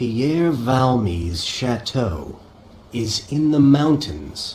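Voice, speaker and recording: Using a put-on character voice of medium pitch with very wide pitch swings, a man speaks very slowly over clear background noise. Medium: audio drama.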